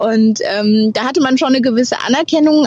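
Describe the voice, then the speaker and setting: A woman varies her pitch in an ordinary way. Noticeable noise sits in the background. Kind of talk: interview. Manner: hesitant, with fillers.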